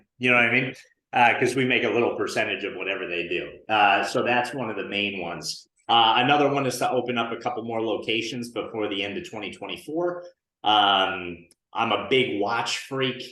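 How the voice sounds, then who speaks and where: There is audible room echo around this man's voice. He talks fairly quickly with an American accent at a medium pitch. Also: ordinary pitch variation. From northern New Jersey. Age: 30s. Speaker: insurance agency owner and coach. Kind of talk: podcast interview. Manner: casual, many fillers.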